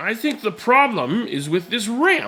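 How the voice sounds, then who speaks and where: A man's put-on character voice, extremely high in pitch, with very wide pitch swings and a fairly slow pace. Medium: read story. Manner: calm, patient.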